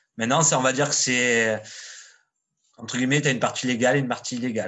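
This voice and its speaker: A man talks at a very fast pace. His pitch is medium and his intonation fairly even. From southern France, Marseille suburbs. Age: 40s. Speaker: street artist. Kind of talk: casual chat. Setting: internet call.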